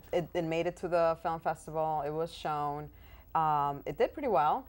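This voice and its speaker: In a very clean recording with a silent background, a woman with a Spanish accent talks at a moderate pace in a fairly low voice with fairly even intonation. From Dominican Republic, Santo Domingo, moved to US at ten. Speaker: actress. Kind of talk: interview. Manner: hesitant, many fillers.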